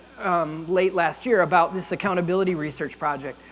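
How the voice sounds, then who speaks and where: There is noticeable background noise behind this man. He speaks in a high pitch at a moderate pace. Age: 60s. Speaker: leadership consultant and event host. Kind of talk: opening remarks at a breakfast event. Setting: ballroom with audience. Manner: casual, conversational.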